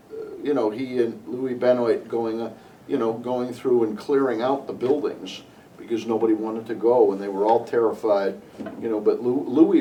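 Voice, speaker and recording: Through noticeable background noise and audible room echo, a man with an American accent speaks at a medium pitch and a moderate pace with fairly even intonation. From Connecticut, US. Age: 60s. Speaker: interviewee sharing local history memories. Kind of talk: oral history interview. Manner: halting, with many fillers and restarts.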